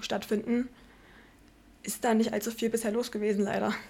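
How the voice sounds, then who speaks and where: Her voice is fairly high for a woman, with flat, monotone intonation. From Vogtland, Saxony, Germany. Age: 20s. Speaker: speech therapy trainee. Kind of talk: casual chat.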